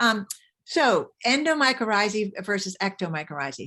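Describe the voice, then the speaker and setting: At a moderate pace, a woman talks in a medium pitch, on a very clean recording with a silent background. It is an ordinary speaking voice. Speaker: mycologist giving a talk. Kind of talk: lecture.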